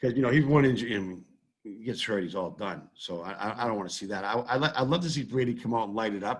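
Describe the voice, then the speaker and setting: A man with a Boston accent talks at a very fast pace. His voice is medium in pitch with ordinary pitch variation. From Massachusetts, Brockton. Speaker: sports fan and social media personality. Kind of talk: casual chat. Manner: halting, many repetitions.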